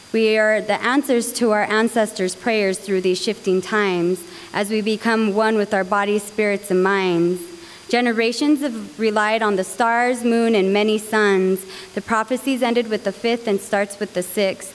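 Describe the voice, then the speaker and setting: Her intonation is fairly even and her loudness very even as this woman speaks. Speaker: open mic poet. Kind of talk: spoken word poetry performance. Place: hall. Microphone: handheld.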